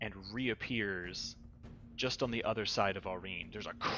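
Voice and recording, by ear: Pitch moving in an ordinary way, reading aloud in a natural voice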